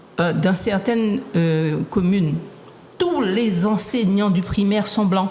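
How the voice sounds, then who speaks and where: A woman at a medium pitch with ordinary pitch variation, a very slow pace, very even loudness and noticeable background noise. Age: 60s. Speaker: association activist. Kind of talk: panel discussion. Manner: halting, many repetitions.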